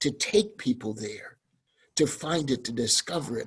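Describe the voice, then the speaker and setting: Somewhat breathy man's voice, lively in intonation, at a fairly slow pace. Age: 70s. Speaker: deacon, panelist. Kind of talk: panel discussion.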